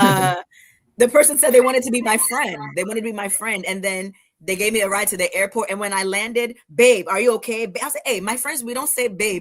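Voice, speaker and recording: With an American accent, a woman has an ordinary speaking voice, fairly high in pitch with ordinary pitch variation, moving at a fairly quick pace. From US. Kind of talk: casual chat.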